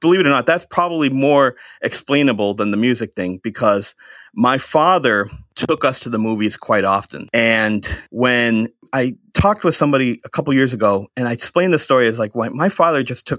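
Dry and close with no echo, the recording has a man with an American accent and a normal speaking voice talking fairly quickly at a medium pitch with lively intonation. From central Massachusetts. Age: 30s. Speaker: podcast guest. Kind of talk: casual chat.

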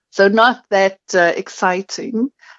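In a South African accent, a woman speaks with ordinary pitch variation. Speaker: marketing agency founder. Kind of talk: casual interview chat.

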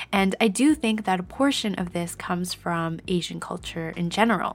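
At a moderate pace, a woman with a Canadian accent uses a normal speaking voice of medium pitch and ordinary pitch variation, on a very clean recording with a silent background. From Canada. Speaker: podcast host. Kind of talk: scripted informational narration; solo personal monologue.

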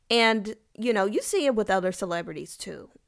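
A woman with a Southern US accent, fairly high pitch, lively intonation and an animated tone, in a very clean recording with a silent background. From Kentucky. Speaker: podcast host. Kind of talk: casual solo podcast on livestream. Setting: TikTok live recording.

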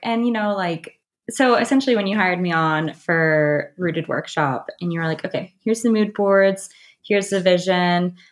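This is an unremarkable speaking voice from a woman with an American accent. She talks at a medium pitch and a moderate pace. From US South, North Carolina. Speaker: event stylist and planner. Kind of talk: casual interview chat. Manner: casual, many filler words.

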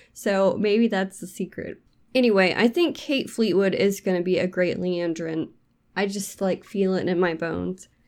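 Using an ordinary speaking voice, a woman talks at a moderate pace in a medium pitch with ordinary pitch variation. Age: 30s. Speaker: book podcast host. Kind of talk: casual chat.

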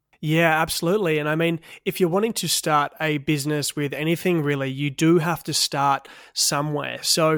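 In an Australian accent, a man speaks at a moderate pace with a fairly high pitch and flat, monotone intonation. The recording is very clean, the background silent. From Western Australia, Perth. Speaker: podcast host. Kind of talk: interview. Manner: casual.

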